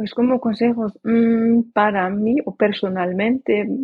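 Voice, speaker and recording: A woman speaks at a very slow pace. Her pitch is medium and her intonation fairly even. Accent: non-native. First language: not Spanish (speaking Spanish). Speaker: language learner and traveler. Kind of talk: interview. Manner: halting.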